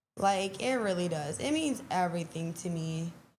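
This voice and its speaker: Fairly slow female speech, fairly low in pitch, with audible room echo. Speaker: performer and show organizer. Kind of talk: interview. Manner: casual, with many fillers.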